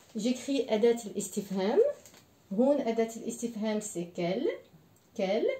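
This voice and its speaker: A woman speaks at a very slow pace with long, frequent pauses and ordinary pitch variation. Audible room echo surrounds her voice. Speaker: French language teacher. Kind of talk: language lesson. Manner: slow, repeating words for learners. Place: home room. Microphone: camera far.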